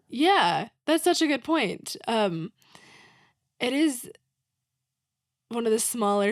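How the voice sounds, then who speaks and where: An ordinary speaking voice from a woman with an American accent, lively intonation, on a very clean recording with a silent background. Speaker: playwright. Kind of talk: casual chat. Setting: podcast interview. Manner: informal, many fillers (um, like).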